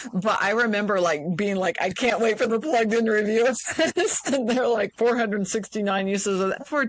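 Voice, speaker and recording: This woman has a normal speaking voice with a fairly high pitch. She talks at a fairly quick pace with ordinary pitch variation. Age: 50s. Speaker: podcast host. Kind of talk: casual chat.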